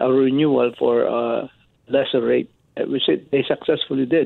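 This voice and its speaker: A man talking at a very slow pace. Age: old. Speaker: homeowner giving client testimonial. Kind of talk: testimony. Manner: halting.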